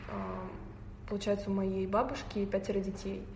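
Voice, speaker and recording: Female voice amid noticeable background noise and audible room echo. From Tatarstan, Russia (Naberezhnye Chelny). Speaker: photographer. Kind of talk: casual interview.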